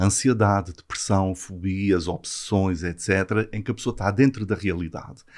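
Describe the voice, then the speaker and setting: Speaking with a slight Azorean accent, a man with a fairly low voice uses ordinary pitch variation in a very clean recording with a silent background. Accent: slight Azorean (São Miguel). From Azores, São Miguel. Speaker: psychiatrist. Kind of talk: explanatory interview.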